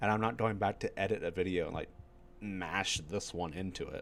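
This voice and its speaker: This man has a fairly low pitch. His voice carries vocal fry. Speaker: video game streamer. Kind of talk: casual gameplay stream chat. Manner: mellow and low. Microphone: voice a bit too quiet.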